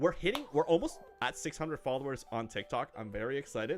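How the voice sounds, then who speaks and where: Very fast speech with music in the background. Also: man. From Canada. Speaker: gaming livestreamer. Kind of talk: casual livestream chat. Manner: halting, many fillers.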